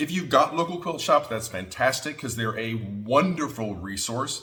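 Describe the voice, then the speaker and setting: The voice is loud, with a bright, sharp tone. Its delivery is animated, with very wide pitch swings. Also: man. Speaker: quilting teacher. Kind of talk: tutorial.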